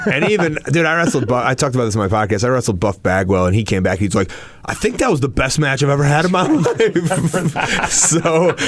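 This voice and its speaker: Over noticeable background noise, a man talks at a fairly quick pace in a fairly high pitch, his pitch swinging very widely while his loudness stays very even. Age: 30s. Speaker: professional wrestler and podcaster. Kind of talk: casual chat. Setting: podcast interview. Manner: animated.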